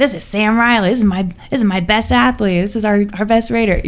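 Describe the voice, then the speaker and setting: Using a gruff, put-on character voice, a woman talks at a medium pitch and moderate pace with ordinary pitch variation. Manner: proud, bragging.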